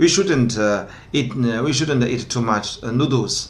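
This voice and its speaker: A man's voice amid audible room echo and noticeable background noise. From northwest China, Gansu province. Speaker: translation company founder and interpreter. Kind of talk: casual discussion. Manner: halting, many fillers.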